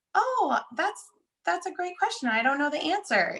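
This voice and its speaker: An extremely high pitch marks this put-on character voice. Its pace stays moderate. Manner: uncertain, nervous, hesitant.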